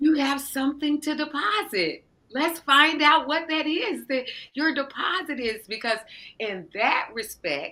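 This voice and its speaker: A woman speaks in a raised, projected voice at a fairly slow pace, with a high pitch and lively intonation. Her tone is bright and sharp. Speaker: podcast guest, spiritual coach. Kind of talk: interview conversation. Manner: loud and demonstrative.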